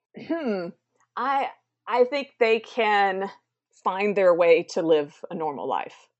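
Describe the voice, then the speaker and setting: In an American accent, a woman speaks at a very slow pace with long, frequent pauses, an upbeat tone and very wide pitch swings. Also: medium pitch for a woman. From South Carolina, US South. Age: 30s. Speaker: mental health advocate and entertainer. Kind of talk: interview. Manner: upbeat, laughs often.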